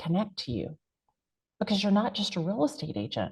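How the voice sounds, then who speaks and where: The voice has a dark, mellow tone with vocal fry and lively intonation. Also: woman. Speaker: real estate agent and content creator. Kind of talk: panel interview. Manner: animated.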